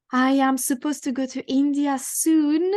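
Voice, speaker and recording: In a French accent, the speaker reads fairly slowly with monotone, flat intonation against a quiet background. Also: woman. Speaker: tantra teacher, book club host. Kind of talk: online group discussion.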